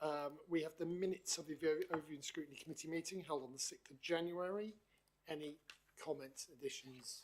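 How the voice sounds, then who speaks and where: Speaking in a Norfolk accent, a man has a fairly high pitch and ordinary pitch variation. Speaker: council committee chair. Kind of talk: formal meeting chairing. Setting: council meeting room, live streamed. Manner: hesitant, many fillers.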